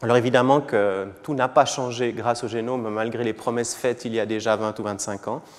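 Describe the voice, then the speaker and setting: Hardly any pauses break up this man's fairly quick speech. His medium-pitched voice keeps a fairly even intonation. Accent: Swiss. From Switzerland. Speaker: physician and genomics professor. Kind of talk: lecture. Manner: hesitant, with fillers and repetitions.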